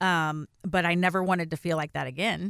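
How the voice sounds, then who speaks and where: The recording is very clean, with a silent background and a dry, close sound with no echo. A woman speaks with a very deep, low pitch. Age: 40s. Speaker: podcast co-host, inspirational speaker. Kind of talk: casual chat. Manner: animated.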